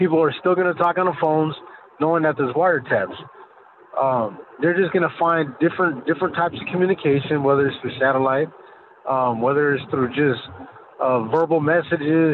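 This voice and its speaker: A man with an American accent, fairly high pitch, ordinary pitch variation and a fairly quick pace, over noticeable background noise. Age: 40s. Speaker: former cartel member. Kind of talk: testimony. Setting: phone call.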